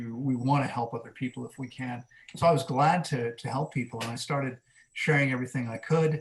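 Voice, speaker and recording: Somewhat breathy and very fast, a man with an American accent speaks at medium pitch with fairly even intonation. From US Mid-Atlantic (Maryland, near Washington DC). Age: 50s. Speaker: fasting coach, wellness center director. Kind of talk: podcast interview. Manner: conversational, with frequent fillers.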